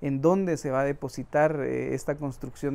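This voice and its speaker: Fairly even intonation in a man's dark, mellow tone. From Guatemala, Quetzaltenango (Mam family roots); Guatemala. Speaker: interviewee. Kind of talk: interview monologue. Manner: halting, with repeated fillers. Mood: calm, reflective. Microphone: lapel.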